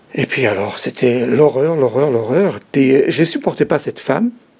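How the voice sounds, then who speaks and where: Noticeable background noise runs under a man who speaks very slowly. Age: 60s. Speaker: author giving life testimony. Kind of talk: interview testimony. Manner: halting.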